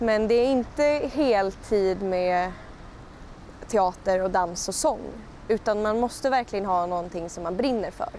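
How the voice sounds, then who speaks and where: In an unremarkable speaking voice, a woman talks at a fairly slow pace and medium pitch with lively intonation. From Skåne, southern Sweden. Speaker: musical theatre performer. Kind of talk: interview answer. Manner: casual, conversational.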